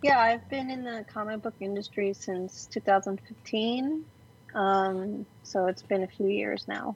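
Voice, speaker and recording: Somewhat breathy, a woman with a Californian accent speaks at a medium pitch and a very slow pace. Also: ordinary pitch variation. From Los Angeles, raised in Glendale. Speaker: comic book artist. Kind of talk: casual chat.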